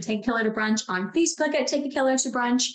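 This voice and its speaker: A woman talks in a high voice while noticeable noise fills the background. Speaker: podcast co-host. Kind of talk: casual chat.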